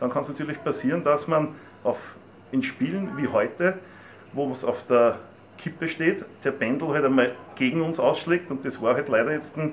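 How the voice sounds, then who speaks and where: A man speaks at a fairly high pitch with ordinary pitch variation, leaving long, frequent pauses. Noticeable background noise sits behind him. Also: moderate pace. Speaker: stadium announcer. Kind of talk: interview answer.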